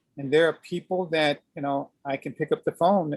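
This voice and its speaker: A man speaks at a moderate pace in a fairly high pitch with ordinary pitch variation. The sound is dry and close, with no echo. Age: 60s. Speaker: aikido teacher. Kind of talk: interview. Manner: halting.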